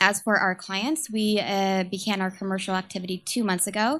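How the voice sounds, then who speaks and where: In an American accent, a woman speaks at medium pitch and a moderate pace with fairly even intonation. The recording is very clean, with a silent background. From San Francisco, US. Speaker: startup communications manager. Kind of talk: startup pitch presentation. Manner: halting, many fillers.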